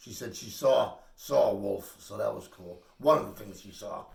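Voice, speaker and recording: A man at a moderate pace, with audible room echo. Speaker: spiritual healer. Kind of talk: casual chat. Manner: loud.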